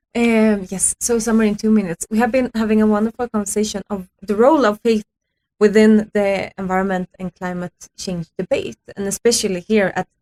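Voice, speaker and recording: A woman's fairly high, dark, mellow voice in a Swedish accent, fairly quick and with fairly even intonation, in a dry, close sound with no echo. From Sweden. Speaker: youth climate activist. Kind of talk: radio interview. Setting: radio studio. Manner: hesitant with fillers.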